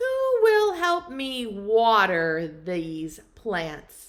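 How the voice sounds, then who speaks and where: A put-on character voice at a very slow pace. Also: woman, fairly high pitch for a woman. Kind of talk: preschool storytime. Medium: read story.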